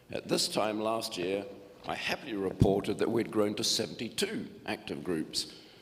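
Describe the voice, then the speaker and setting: There is audible room echo around a man speaking at a moderate pace with a fairly low pitch. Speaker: group coordinator of a retirees' learning club. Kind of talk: annual report speech at a meeting. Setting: church hall meeting with audience. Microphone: echoey PA.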